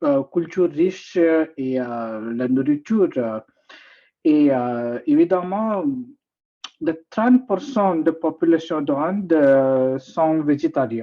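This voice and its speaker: Someone with an Indian accent speaks at a very slow pace. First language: not French; usually speaks English (speaking French). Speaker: guest speaker at a talk. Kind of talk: informal presentation. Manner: halting, many hesitations.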